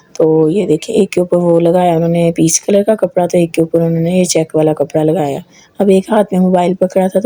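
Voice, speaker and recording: A woman speaks at a moderate pace with a fairly low pitch and fairly even intonation. Noticeable background noise runs under her voice. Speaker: family vlogger. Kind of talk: casual vlog narration.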